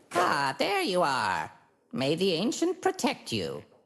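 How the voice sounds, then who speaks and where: This is a put-on character voice. It sounds croaky. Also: fairly slow pace. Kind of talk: formal, ritual greeting.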